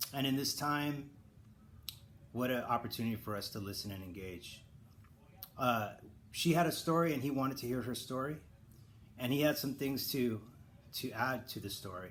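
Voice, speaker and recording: The speaker has an American accent and a moderate pace, ordinary pitch variation, and long, frequent pauses, with audible room echo. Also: man, medium pitch for a man. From Southern California. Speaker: church elder giving devotional. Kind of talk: devotional talk. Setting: online video recording. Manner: casual with fillers and false starts.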